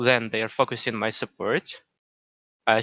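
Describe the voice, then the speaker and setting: A man with a non-native accent, in a dry, close sound with no echo. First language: not English. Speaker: gamer being coached. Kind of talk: coaching session. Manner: halting.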